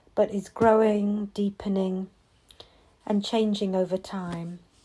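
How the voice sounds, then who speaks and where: A woman speaks at a medium pitch with an English accent, very slowly and in a calm, dark, mellow tone. The recording is very clean, with a silent background. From England. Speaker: mindfulness and meditation teacher. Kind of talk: reflective podcast monologue. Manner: slow pace; calm with many pauses.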